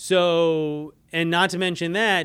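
On a very clean recording with a silent background, a man speaks at a high pitch. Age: 30s. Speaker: marketing podcast host. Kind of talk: solo business podcast monologue.

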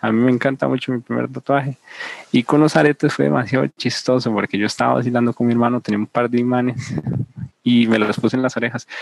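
Very fast speech from a man with ordinary pitch variation comes through in a dry, close sound with no echo. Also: medium pitch for a man. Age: 20s. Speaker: student. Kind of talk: casual chat. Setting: video call.

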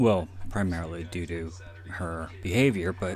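Ordinary pitch variation in a somewhat breathy male voice. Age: 30s. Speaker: podcast host and author. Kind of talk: solo movie commentary. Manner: rambling with frequent fillers.

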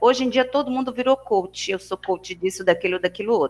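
Lively intonation and an animated tone mark this woman's speech. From Bahia, Brazil. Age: 40s. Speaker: nutritionist. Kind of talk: online talk to students. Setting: video call.

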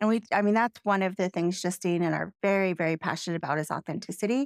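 A woman speaks at a fairly quick pace in a normal speaking voice, her pitch medium with ordinary variation. The sound is dry and close, with no echo. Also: very clean recording, silent background. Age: 40s. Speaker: real estate agent and podcast co-host. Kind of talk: casual chat.

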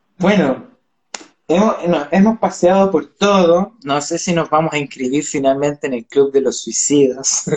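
A fairly high-pitched man with a Chilean accent. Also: ordinary pitch variation, fairly slow pace. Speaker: cultural promoter. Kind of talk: casual chat.

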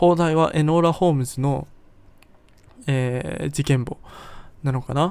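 At a fairly slow pace, a man with a fairly high voice speaks in a relaxed tone, leaving long, frequent pauses. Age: 20s. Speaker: podcast host. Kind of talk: solo podcast, partly reading from own article. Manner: relaxed, frequent fillers.

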